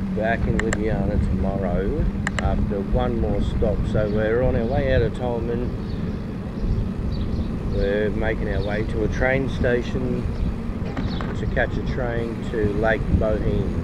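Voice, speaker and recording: Over loud background noise, the speech moves at a fairly slow pace with long, frequent pauses. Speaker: bikepacking vlogger. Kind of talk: casual vlog chat. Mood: relaxed, playful. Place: bicycle. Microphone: camera far.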